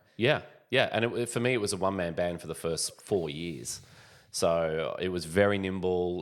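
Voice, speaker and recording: A man talks with an Australian accent at a moderate pace. His pitch is very deep and low. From Australia, Sydney. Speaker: business founder. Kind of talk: podcast interview.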